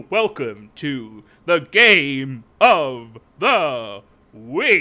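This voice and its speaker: A man puts on a character voice. He speaks very slowly at a fairly high pitch for a man. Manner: booming, hyped-up.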